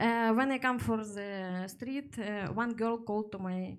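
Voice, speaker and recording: Spoken at a fairly slow pace with lively intonation and a strong Russian accent, this voice sits on a very clean recording with a silent background. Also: woman. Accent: heavy Russian-sounding accent in English. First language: Russian or Ukrainian. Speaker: stand-up comedian. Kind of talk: stand-up. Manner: halting, many fillers.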